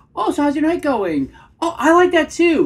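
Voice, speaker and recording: Her voice is a put-on, squeaky character voice pitched extremely high. The woman delivers it at a moderate pace. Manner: nervous, eager to please.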